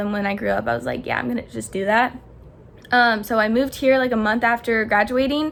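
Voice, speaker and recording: The speaker has an American accent and a very fast pace. Intonation stays fairly even. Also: woman. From Colorado. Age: young. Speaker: beauty vlogger, esthetician graduate. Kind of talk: casual Q&A vlog.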